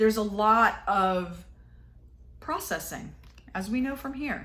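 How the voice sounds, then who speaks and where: A woman with a fairly high pitch speaks slowly-ish, at a fairly slow pace, her intonation lively and the room echo audible. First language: Spanish. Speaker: tarot reader. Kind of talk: tarot reading monologue. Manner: casual, hesitant with many fillers.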